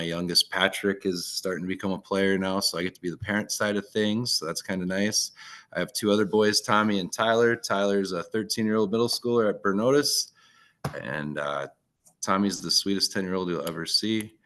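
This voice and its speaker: In a Minnesotan accent, a man talks at a fairly quick pace with a fairly low pitch. His tone is bright and sharp, and his pitch variation is ordinary. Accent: Minnesota. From northern Minnesota. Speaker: teacher. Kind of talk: online presentation.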